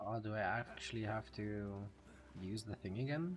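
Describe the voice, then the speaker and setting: There is music in the background. Over it, a man speaks at a fairly low pitch with lively intonation. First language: Dutch. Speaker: video game streamer. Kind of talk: live gameplay commentary. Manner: rolls his R's; animated.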